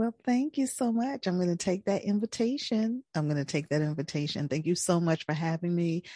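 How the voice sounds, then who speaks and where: A woman with a fairly low pitch and a dark, mellow tone speaks at a fairly quick pace with hardly any pauses, very wide pitch swings and very even loudness, in a dry, close sound with no echo and a quiet background. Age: 50s. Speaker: podcaster and small business owner. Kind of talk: casual chat.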